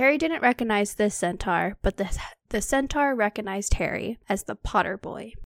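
A woman speaks in a normal speaking voice at medium pitch with lively intonation and a moderate pace. The recording is very clean with a silent background and a dry, close sound with no echo. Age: 20s. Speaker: podcast co-host, parent of a toddler. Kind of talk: casual chat with chapter recap.

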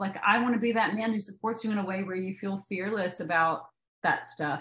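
A woman with a Southern US accent, at a moderate pace. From Tennessee. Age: 30s. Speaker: actress. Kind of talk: casual interview.

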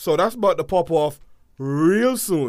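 A man's fairly high voice with very wide pitch swings, on a very clean recording against a silent background. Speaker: podcast co-host.

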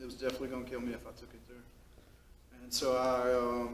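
At a fairly quick pace, a man with a Southern US accent speaks at medium pitch. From Mississippi, US South. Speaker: person in recovery sharing story. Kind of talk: testimony.

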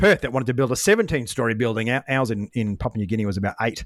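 In an Australian accent, a man talks at a fairly quick pace and a medium pitch. The recording is very clean with a silent background, and the sound is dry and close, with no echo. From Australia, Brisbane. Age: 40s. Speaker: former fighter pilot and business coach. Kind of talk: interview conversation. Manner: fast.

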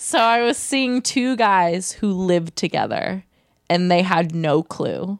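Very slowly and with very even loudness, a woman with a Californian accent speaks at a medium pitch. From Southern California, Orange County. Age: 20s. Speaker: digital marketer. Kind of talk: casual chat. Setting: host's apartment.

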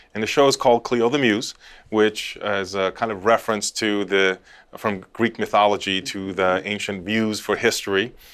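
An American-accented man speaks at a moderate pace with a fairly low pitch and fairly even intonation, recorded very cleanly over a silent background. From US West Coast (Los Angeles). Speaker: historian and show host. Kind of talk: casual interview chat. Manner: halting, many fillers and repeats.

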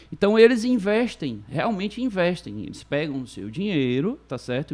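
With a quiet background, a man talks at a moderate pace, his pitch swinging very widely. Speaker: lawyer. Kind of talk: casual chat.

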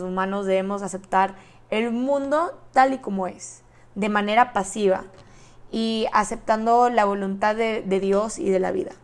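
This woman talks at a fairly slow pace, her medium-pitched voice showing ordinary pitch variation. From Mexico, Monterrey, Nuevo León. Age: young. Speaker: podcast host, university student. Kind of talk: solo podcast monologue.

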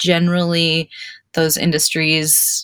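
On a very clean recording with a silent background, a woman with an American accent speaks at a fairly low pitch. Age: 30s. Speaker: hairstylist. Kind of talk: interview, personal storytelling.

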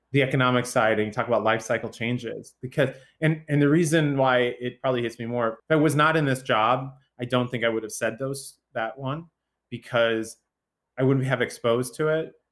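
This is an unremarkable speaking voice with an American accent. The pace is fairly quick. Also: man, medium pitch for a man, fairly even intonation. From southern Illinois, US Midwest. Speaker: researcher and author. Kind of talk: interview conversation.

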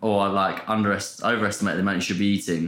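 In a southern English accent, a man speaks at a very fast pace. Room echo is audible. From Portsmouth, England. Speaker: content creator and personal trainer. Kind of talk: casual chat.

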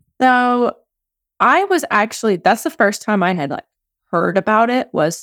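In a dry, close, very clean recording with no echo and a silent background, a woman with a normal speaking voice and an American accent speaks at a fairly slow pace with lively intonation. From US South, southern Louisiana. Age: 30s. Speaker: life coach and behavior analyst. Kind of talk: casual chat.

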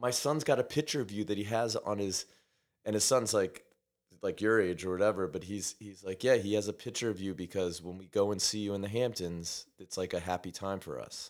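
In a New York accent, a man speaks at a fairly quick pace. His pitch is fairly low. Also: ordinary pitch variation, very clean recording, silent background. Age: 40s. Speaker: science teacher and musician. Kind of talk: casual chat.

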